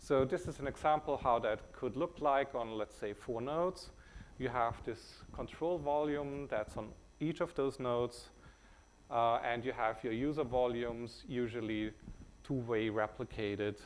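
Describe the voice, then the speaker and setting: A man with a German accent at a fairly slow pace. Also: medium pitch for a man, ordinary pitch variation. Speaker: company CEO presenting software. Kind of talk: conference talk. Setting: stage with audience. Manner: hesitant, many filler words.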